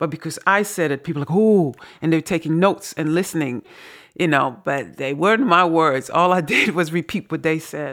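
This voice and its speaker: On a very clean recording with a silent background, a woman with an unremarkable speaking voice talks at a fairly low pitch and moderate pace, with ordinary pitch variation. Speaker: author and podcast host. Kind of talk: casual conversation and reading aloud.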